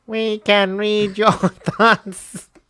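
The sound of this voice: A put-on character voice sits at a fairly high pitch. The intonation stays monotone and flat.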